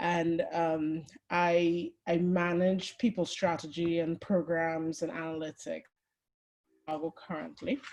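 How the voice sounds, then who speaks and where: Delivered in a Trinidadian accent, the speech is very slow with long, frequent pauses and ordinary pitch variation. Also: woman, fairly low pitch for a woman. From Trinidad and Tobago. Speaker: HR and people analytics executive. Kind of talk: webinar presentation. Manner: conversational.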